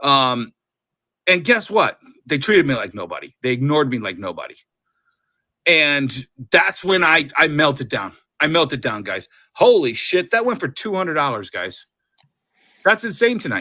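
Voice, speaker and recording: Loud, animated man's voice, fairly high and bright, sharp in tone, with vocal fry, very wide pitch swings, a moderate pace and long, frequent pauses, on a very clean recording with a silent background. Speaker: comic book seller. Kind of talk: casual chat. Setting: live stream.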